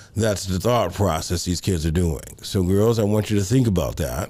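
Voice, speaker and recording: With audible room echo, a man with a very deep, low pitch and a dark, mellow tone speaks at a moderate pace and ordinary pitch variation. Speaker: pastor and counseling show host. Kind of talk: advice talk on live show. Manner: conversational, lots of rhetorical right.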